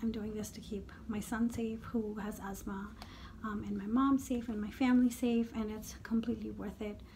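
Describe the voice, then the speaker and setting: A woman's monotone, flat voice at a moderate pace over light background noise. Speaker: beauty vlogger. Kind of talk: casual vlog chat. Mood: earnest, hopeful. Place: home room. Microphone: phone near.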